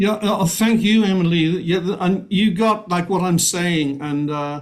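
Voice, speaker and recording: A man's voice high in pitch, ordinary in pitch variation, moderate in pace. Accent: Welsh. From Wales, Cardiff. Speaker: musician. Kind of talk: casual chat.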